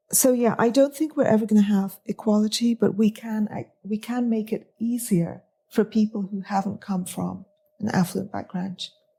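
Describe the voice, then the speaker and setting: Her voice is somewhat breathy with a dark, mellow tone, as this woman speaks at a fairly high pitch and a moderate pace. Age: 50s. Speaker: writer and editor. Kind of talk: interview. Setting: studio. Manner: hesitant.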